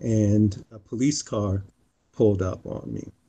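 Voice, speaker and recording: With an American accent, a man speaks at a fairly low pitch in a dark, mellow, somewhat breathy tone and fairly even intonation. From US East (Pennsylvania / North Carolina). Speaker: civic engagement leader and musician. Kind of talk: interview conversation. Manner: hesitant, many fillers.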